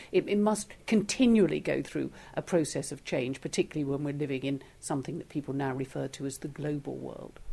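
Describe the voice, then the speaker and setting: Against a quiet background, a woman with a dark, mellow tone and vocal fry speaks at a fairly quick pace with lively intonation. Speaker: interviewer, podcast host. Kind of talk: interview.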